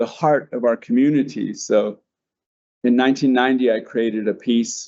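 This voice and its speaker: A man with an American accent speaks at a moderate pace. His pitch is medium and his intonation monotone and flat. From Denver, Colorado. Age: 60s. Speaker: artist. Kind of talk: panel presentation.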